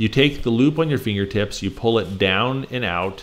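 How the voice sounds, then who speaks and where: This man has a plain, everyday voice with a fairly low pitch. He talks at a moderate pace with ordinary pitch variation. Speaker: knot instructor. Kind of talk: tutorial.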